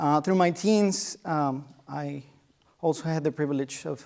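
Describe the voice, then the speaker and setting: With a Spanish accent, the speaker keeps a fairly even intonation at a moderate pace in a very clean recording with a silent background. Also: man. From Mexico, small town. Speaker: guest lecturer, musician. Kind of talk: lecture. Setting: lecture hall with students. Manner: halting, many fillers.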